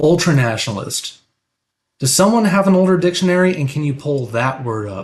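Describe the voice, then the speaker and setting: A man talks at a fairly quick clip in a fairly high, somewhat breathy voice, his pitch swinging very widely. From United States. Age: 30s. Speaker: live streamer, political commentator. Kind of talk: live stream commentary. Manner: hesitant, with fillers.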